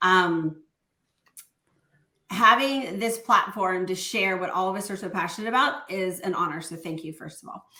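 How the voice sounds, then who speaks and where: In an American accent, a woman with medium pitch and an energetic tone talks at a moderate pace with ordinary pitch variation, big swings in loudness, and long, frequent pauses. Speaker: network marketing distributor. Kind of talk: podcast interview.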